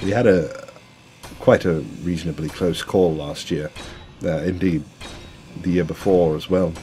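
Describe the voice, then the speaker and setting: There is noticeable noise in the background. A man speaks with a very deep, low voice. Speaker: gaming youtuber and comedian. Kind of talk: casual gameplay commentary. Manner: halting, rambling with many fillers; casual, self-deprecating.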